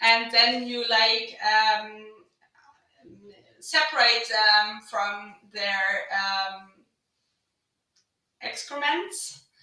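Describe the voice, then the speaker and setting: In a German accent, a woman speaks very slowly with long, frequent pauses. Her pitch is fairly high, with ordinary variation. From western Germany, North Rhine-Westphalia. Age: 30s. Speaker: agricultural innovation manager. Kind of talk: podcast interview. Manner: hesitant, many fillers.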